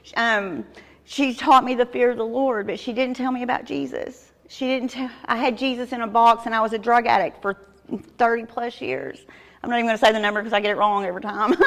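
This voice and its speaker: Moving at a fairly quick pace, a woman with a Southern US accent speaks at a fairly high pitch with fairly even intonation. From Arkansas, US South. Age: 50s. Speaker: recovering addict giving testimony. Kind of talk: testimony. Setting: church with audience.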